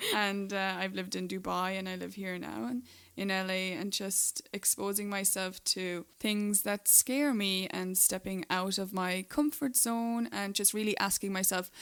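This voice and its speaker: Speaking with an Irish accent, the voice moves at a fairly slow pace with ordinary pitch variation and hardly any pauses. The recording is very clean with a silent background. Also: woman, medium pitch for a woman. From Ireland. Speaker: podcast co-host, writer. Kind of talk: casual chat.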